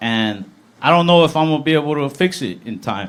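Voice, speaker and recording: There is noticeable background noise as a man speaks. His fairly high pitch swings very widely. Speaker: stand-up comedian. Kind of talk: live stand-up comedy set.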